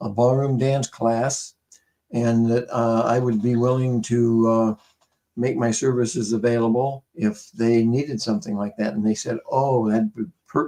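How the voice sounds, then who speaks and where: Dark, mellow tone, fairly slow pace and fairly even intonation. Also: man. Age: 80s+. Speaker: dance teacher. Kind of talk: interview.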